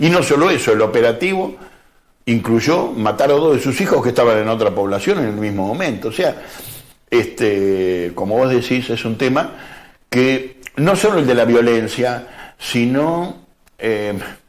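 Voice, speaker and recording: There is audible room echo as a man talks with lively intonation. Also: medium pitch for a man, fairly slow pace. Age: 60s. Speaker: historian and author. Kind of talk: TV interview.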